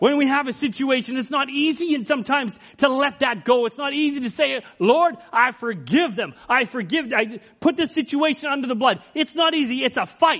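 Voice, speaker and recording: Loud and with hardly any pauses, a man's extremely high voice shows ordinary pitch variation. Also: moderate pace. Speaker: preacher. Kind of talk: sermon. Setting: church.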